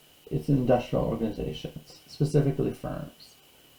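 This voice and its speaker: A man with an American accent talks at a moderate pace with ordinary pitch variation over noticeable background noise. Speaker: university lecturer. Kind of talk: recorded lecture. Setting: online video lecture.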